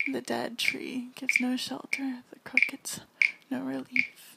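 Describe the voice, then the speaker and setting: Over noticeable background noise, a soft-spoken woman talks at a moderate pace. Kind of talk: poetry reading.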